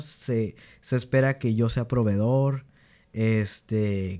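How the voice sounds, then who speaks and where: A man's voice with ordinary pitch variation on a very clean recording with a silent background. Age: 20s. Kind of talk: casual chat. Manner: halting.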